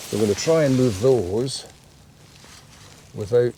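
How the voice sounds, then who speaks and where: A man speaks with a medium pitch. Noticeable background noise runs under the recording. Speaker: hobby photographer. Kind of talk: casual vlog talk to camera. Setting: outdoors, woodland. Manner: slow, unhurried.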